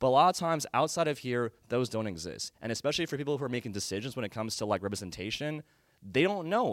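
This man has lively intonation and talks at a very fast pace. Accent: American. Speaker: entertainment industry worker. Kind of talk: live interview. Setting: stage with audience. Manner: serious.

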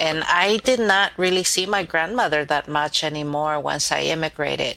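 Over noticeable background noise, a woman speaks at a very deep, low pitch. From Mexico, state of Guerrero; raised in Los Angeles from age nine. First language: Spanish. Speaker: novelist. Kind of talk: interview.

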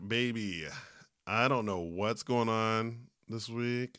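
A man's animated, bright and sharp voice at medium pitch, on a very clean recording with a silent background. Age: 30s. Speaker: podcast host. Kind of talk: casual chat.

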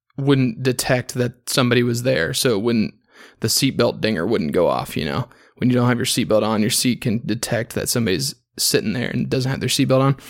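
Over a silent background in a very clean recording, a man with vocal fry speaks fairly quickly at a medium pitch, with ordinary pitch variation. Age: 20s. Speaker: podcast host. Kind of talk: solo casual monologue with beer review. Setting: hotel room.

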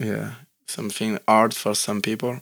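A man with a French accent and a medium pitch speaks at a fairly slow pace with fairly even intonation, on a very clean recording with a silent background. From France. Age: 20s. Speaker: ski instructor. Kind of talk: casual chat. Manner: halting.

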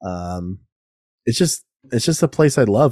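On a very clean recording with a silent background, a man's fairly low voice has a dark, mellow tone and a dry, close sound with no echo. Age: 30s. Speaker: podcast host. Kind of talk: casual solo monologue. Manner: casual, filler-heavy.

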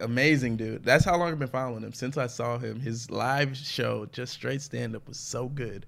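In a normal speaking voice, the speech comes at a fairly quick pace with ordinary pitch variation on a very clean recording with a silent background. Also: man. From Atlanta, US South. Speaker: comedian. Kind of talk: casual chat.

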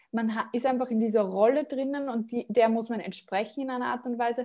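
A woman's unremarkable speaking voice, fairly high-pitched with ordinary pitch variation, at a fairly quick pace on a very clean recording with a silent background. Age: 20s. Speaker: career coach and entrepreneur. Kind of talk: interview.

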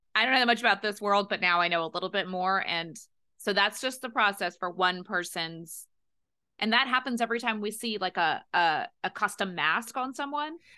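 Against a quiet background, a woman with a bright, sharp tone speaks at medium pitch and a fairly quick pace, her intonation lively. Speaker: podcast co-host, playwright. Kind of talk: casual chat.

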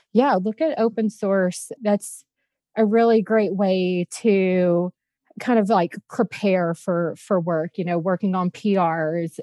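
A woman with an American accent, medium pitch and a very slow pace. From US South, Louisiana. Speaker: front end engineer. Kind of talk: casual chat.

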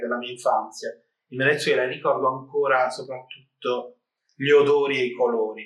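Fairly even intonation and a moderate pace from a man's medium-pitched voice. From Apulia, southern Italy (San Nicandro di Bari). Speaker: photographer. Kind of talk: interview. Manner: halting.

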